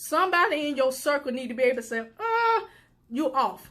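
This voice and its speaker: A woman talks loudly at a fairly quick pace with a high pitch. Her tone is bright, sharp and animated. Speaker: suicide prevention advocate and live show host. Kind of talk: motivational talk.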